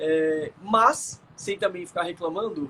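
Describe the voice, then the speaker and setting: The man's high pitch holds a fairly even intonation. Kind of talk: conversational explanation in a live stream. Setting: video call.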